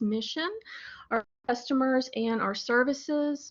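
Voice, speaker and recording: A soft-spoken woman talks at a high pitch. Her pitch variation is ordinary. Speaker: librarian. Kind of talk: webinar presentation. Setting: webinar. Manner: hesitant with fillers.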